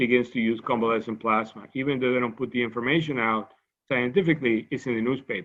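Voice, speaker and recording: A man with a Cuban accent talks very fast at a medium pitch. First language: Spanish. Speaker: medical scientist. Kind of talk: lecture. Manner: halting, with frequent repetitions.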